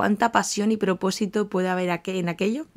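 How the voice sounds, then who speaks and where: At a moderate pace and with ordinary pitch variation, a woman speaks in a very clean recording with a silent background. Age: 30s. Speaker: life coach and podcast host. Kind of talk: podcast monologue. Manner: talkative, chatty.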